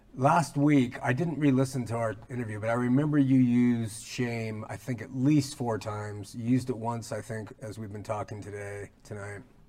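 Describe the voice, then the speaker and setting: An unremarkable speaking voice moves at a moderate pace with hardly any pauses. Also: man, medium pitch for a man, ordinary pitch variation. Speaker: religious talk show host. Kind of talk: interview. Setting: studio.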